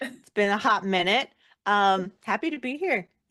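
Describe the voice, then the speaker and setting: A woman's normal speaking voice, fairly slow in pace, with lively intonation. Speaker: singer, actor, editor. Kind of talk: interview answer.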